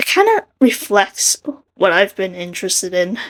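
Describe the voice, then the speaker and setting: A woman's fairly high voice at a fairly slow pace. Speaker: artist and video creator. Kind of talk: casual commentary over speedpaint. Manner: rambling.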